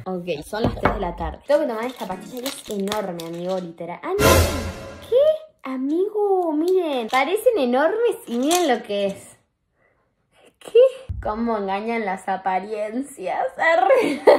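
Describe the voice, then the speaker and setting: Faint music sits behind a woman speaking at a high pitch. She goes at a fairly slow pace with very wide pitch swings. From Argentina. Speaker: vlogger. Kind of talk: casual vlog. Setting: in a car. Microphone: phone near.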